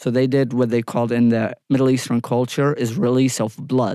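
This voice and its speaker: A man with an Iraqi accent speaks at a moderate pace in a dark, mellow tone of medium pitch, with fairly even intonation, on a very clean recording with a silent background. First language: Arabic. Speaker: former military interpreter. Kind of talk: interview.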